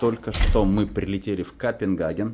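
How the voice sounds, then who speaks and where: His voice is fairly low-pitched. The man keeps a moderate speed. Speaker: travel vlogger. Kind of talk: casual vlog chat. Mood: relaxed, amused. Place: home room. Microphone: phone near.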